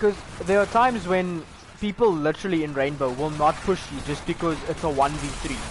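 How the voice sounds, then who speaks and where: A man talks at a fairly quick pace and fairly high pitch with ordinary pitch variation, amid noticeable background noise. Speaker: gaming podcast host. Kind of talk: casual chat. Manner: loud.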